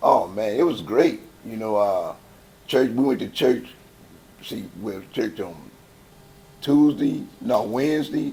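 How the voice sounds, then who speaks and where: A man with a strong Southern US accent speaks at a fairly slow pace, leaving long, frequent pauses. His loudness swings widely, and audible room echo fills the space. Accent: heavy Southern US. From Chicago, West Side. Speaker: gospel choir founder. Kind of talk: interview. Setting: church. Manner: casual, halting with repetitions.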